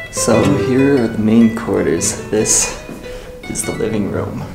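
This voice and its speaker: A man speaks at a fairly slow pace with clear music playing in the background. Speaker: travel vlogger. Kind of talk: casual vlog chat. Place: home room. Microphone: phone near.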